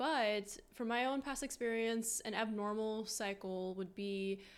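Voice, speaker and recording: This woman has an unremarkable speaking voice, fairly high in pitch with ordinary pitch variation, on a very clean recording with a silent background. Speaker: student organization president. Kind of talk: interview conversation.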